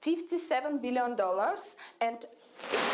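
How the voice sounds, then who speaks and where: A woman speaks with a high pitch and lively intonation. Noticeable background noise can be heard behind her. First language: Russian. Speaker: startup CEO. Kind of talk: pitch presentation. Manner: halting, many hesitations.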